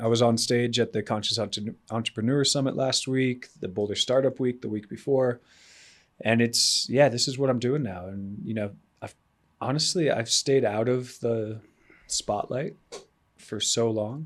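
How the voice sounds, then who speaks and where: An unremarkable speaking voice from a man, medium in pitch, moderately paced, with ordinary pitch variation. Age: 40s. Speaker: entrepreneur and adventurer. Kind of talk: podcast interview. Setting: in person.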